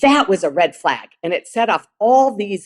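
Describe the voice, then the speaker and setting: It's a plain, everyday voice with lively intonation at a moderate pace. The sound is dry and close, with no echo. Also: woman. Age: 60s. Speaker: living kidney donor and author. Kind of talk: conference talk. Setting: virtual symposium.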